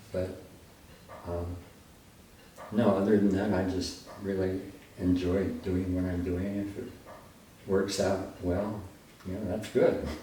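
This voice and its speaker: Pausing long and often, a man talks fairly slowly in a very deep, low, monotone voice. The room echo is audible, and background noise is noticeable. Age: 90s. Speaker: photographer. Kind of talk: interview. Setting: home studio with darkroom. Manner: halting.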